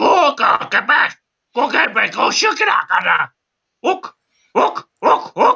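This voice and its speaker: A man in a put-on character voice, husky and extremely high-pitched, with very wide pitch swings at a very slow pace. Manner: shouting, commanding.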